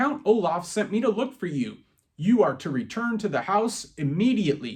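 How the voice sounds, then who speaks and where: In a put-on character voice, a man speaks croakily at a high pitch. His pitch swings very widely, and his pace is moderate. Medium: read story. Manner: menacing, sharp.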